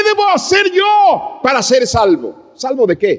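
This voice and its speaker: At a very slow pace, a man speaks with extremely high pitch. His pitch swings very widely. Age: 60s. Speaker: pastor. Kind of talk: sermon.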